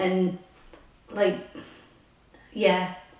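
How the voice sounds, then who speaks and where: Monotone, flat intonation marks this woman's speech, heard with audible room echo and noticeable background noise. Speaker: vlogger. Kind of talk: casual vlog chat. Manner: hesitant, many fillers. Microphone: echoey room.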